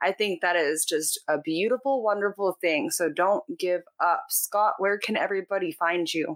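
A woman's normal speaking voice at medium pitch, lively in intonation, at a moderate pace with hardly any pauses, in a dry, close sound with no echo. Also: very even loudness. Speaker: podcast host. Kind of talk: interview conversation.

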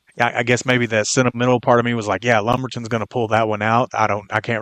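A man with a Texan accent talks at a very fast pace and medium pitch, in a monotone, flat voice. The sound is dry and close with no echo, against a quiet background. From Texas, Brown County. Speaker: sports podcast co-host. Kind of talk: sports talk show.

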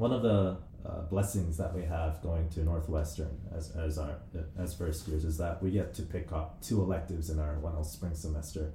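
The voice moves at a moderate pace with fairly even intonation. Audible room echo surrounds it. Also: man, very deep, low pitch for a man. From New Zealand and Korea. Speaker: law student podcast co-host. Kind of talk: casual chat.

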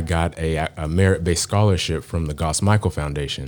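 Very deep, low male voice with fairly even intonation, in an American accent. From Texas, suburbs east of Dallas. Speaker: tattoo artist and painter. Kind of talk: interview. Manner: halting, many fillers.

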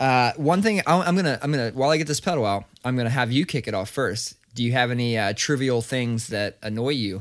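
A man talks in a plain, everyday voice at medium pitch. His pitch varies in an ordinary way, and his pace is fairly quick. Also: very clean recording, silent background. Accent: American. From Ohio, Columbus. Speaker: podcast co-host. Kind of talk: casual chat.

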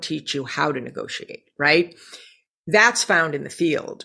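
A woman with an American accent in a bright, sharp tone at a moderate pace, on a very clean recording with a silent background. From US Northeast, Scranton, Pennsylvania. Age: 50s. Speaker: former actress, businesswoman. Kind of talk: interview chat. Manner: animated.

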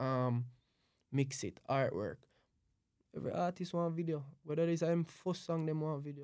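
A man with a fairly high pitch speaks at a moderate pace with ordinary pitch variation, leaving long, frequent pauses. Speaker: event planner and music producer. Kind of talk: casual chat.

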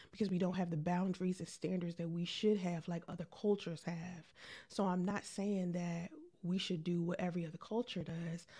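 The speaker is soft-spoken and somewhat breathy, with a dark, mellow tone and monotone, flat intonation, moving at a fairly quick pace. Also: woman, fairly low pitch for a woman. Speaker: podcast host and live streamer. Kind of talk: live stream chat. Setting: live stream.

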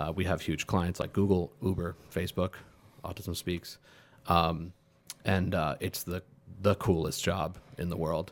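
A man's very deep, low voice in a flat monotone, fairly slow, with long, frequent pauses. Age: 30s. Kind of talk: casual chat.

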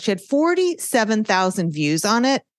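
A woman with a New York accent speaks with very wide pitch swings, in a dry, close sound with no echo. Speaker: social media marketing consultant. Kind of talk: podcast interview. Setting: video podcast recording.

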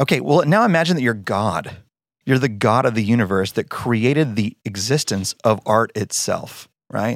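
An American man talks at a moderate pace with lively intonation, medium pitch and a plain, everyday voice. The recording is very clean, with a silent background and a dry, close sound with no echo. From Texas, Denton. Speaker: worship pastor and songwriter. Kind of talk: interview.

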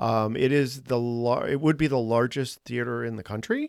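Recorded very clean with a silent background and a dry, close sound with no echo, a man with an American accent has a plain, everyday voice, medium pitch, ordinary pitch variation and a moderate pace. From Boston. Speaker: podcast host and artist. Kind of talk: casual interview.

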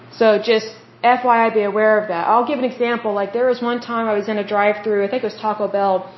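A woman with an American accent speaks at a very fast pace and a fairly high pitch. Her intonation is monotone and flat, with noticeable background noise. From Oklahoma, US. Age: 30s. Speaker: podcast host. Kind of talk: solo podcast monologue, reading info and giving opinions. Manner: conversational, casual.

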